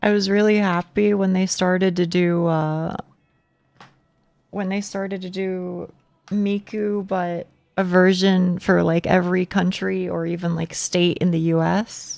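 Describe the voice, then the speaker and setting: Over music in the background, a woman with an American accent speaks at a fairly slow pace with monotone, flat intonation. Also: medium pitch for a woman. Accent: southern US accent, showing more lately. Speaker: video game streamer. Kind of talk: casual live-stream chat with viewers. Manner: repeats words often.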